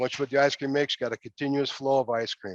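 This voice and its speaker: A man speaks in a quiet background, with a dry, close sound and no echo. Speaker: pilot plant supervisor giving a facility tour. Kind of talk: guided facility tour. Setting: live video tour from a pilot plant. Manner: fast; casual, folksy.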